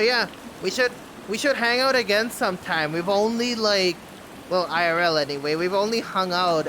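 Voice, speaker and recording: Over noticeable background noise, a man with a non-native accent speaks with lively intonation. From Bangladesh. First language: not English. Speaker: streamer. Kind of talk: casual chat. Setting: live stream.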